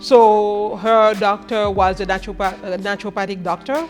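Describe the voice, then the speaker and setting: A woman speaks at a medium pitch, with music playing in the background. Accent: Haitian. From Haiti. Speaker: chef and food business owner. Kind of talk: interview answer.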